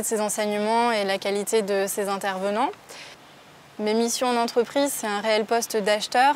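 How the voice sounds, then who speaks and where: This woman has a normal speaking voice, fairly high in pitch. Her pace is moderate and her intonation fairly even. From southwest France, Landes (Mont-de-Marsan). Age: 20s. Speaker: work-study student and buyer. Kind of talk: interview testimony.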